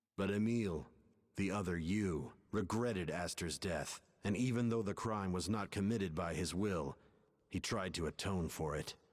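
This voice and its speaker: A man puts on a character voice with a very deep, low pitch. His tone is serious and his pace moderate. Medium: video game. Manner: serious, measured.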